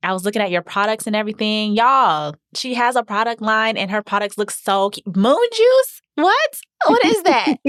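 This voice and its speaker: At a moderate pace with hardly any pauses, this speaker talks with an American accent, an animated tone and lively intonation, in a dry, close sound with no echo. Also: woman, fairly high pitch for a woman. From Florida, Tallahassee. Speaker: podcast host, waxing business owner. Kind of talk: casual interview chat.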